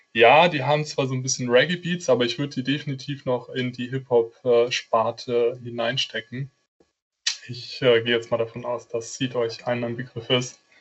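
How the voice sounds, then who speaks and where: Moderate pace, fairly even intonation and medium pitch from a man with a normal speaking voice. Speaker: marketing apprentice. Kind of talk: casual chat.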